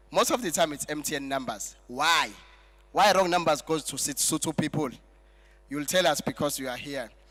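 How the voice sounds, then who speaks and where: On a very clean recording with a silent background, a man speaks at a moderate pace. His fairly high voice has a bright, sharp tone and ordinary pitch variation. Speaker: master of ceremonies. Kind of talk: event MC speech with jokes.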